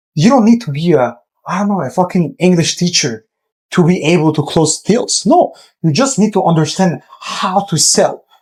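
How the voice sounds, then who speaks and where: A man's high-pitched voice with a non-native accent, lively intonation, and a moderate pace. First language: not English. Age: 20s. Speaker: entrepreneur, agency owner. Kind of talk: casual business advice talk. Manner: direct, informal.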